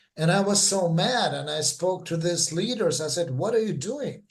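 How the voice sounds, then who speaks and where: High male pitch, fairly slow delivery and lively intonation. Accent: Russian. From Russia. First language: Russian. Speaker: former church member. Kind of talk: interview testimony. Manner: halting.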